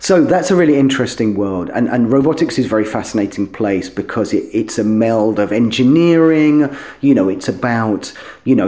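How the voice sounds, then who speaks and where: A man speaks in a London accent with a dark, mellow tone. His intonation is lively and his pace moderate. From London, England. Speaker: software company CEO. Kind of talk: interview.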